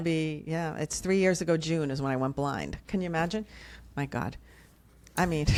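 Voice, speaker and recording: This speaker, in a New Jersey accent, keeps a moderate pace broken by long, frequent pauses. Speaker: podcast guest, video creator.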